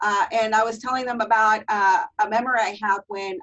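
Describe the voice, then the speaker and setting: Speaking in a Spanish accent, a woman keeps her voice fairly high. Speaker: teacher trainer. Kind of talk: webinar presentation.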